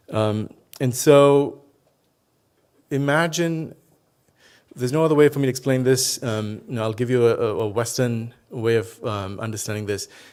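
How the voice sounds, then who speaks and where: A man with a Telugu accent talks at a moderate pace and a medium pitch, with ordinary pitch variation. He leaves long, frequent pauses. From India, Tamil Nadu. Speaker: professor. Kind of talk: keynote speech.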